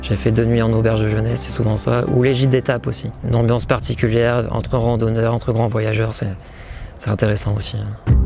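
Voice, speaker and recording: Music plays in the background as a man at medium pitch speaks at a fairly quick pace with ordinary pitch variation. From northern France, Cambrai. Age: 20s. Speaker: long-distance hiker. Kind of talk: interview testimony. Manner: hesitant, many filler sounds.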